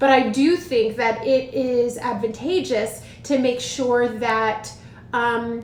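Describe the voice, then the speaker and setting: The recording has noticeable background noise and audible room echo. A woman with a high pitch keeps her loudness very even and her intonation fairly even. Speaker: education consultant and teacher mentor. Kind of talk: live stream advice talk. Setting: livestream on social media. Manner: fast.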